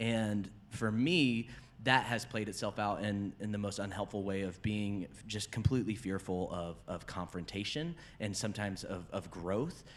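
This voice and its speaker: Ordinary pitch variation in a man's unremarkable speaking voice. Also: fairly low pitch for a man, moderate pace. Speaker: pastor and podcast host. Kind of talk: casual chat.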